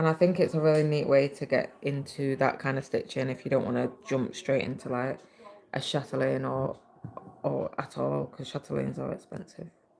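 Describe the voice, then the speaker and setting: The speech is mumbled at a fairly quick pace. Noticeable background noise runs underneath. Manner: mumbling.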